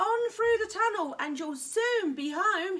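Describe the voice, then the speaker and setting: Shouting in a put-on character voice at an extremely high pitch, a woman goes at a fairly slow pace. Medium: read story.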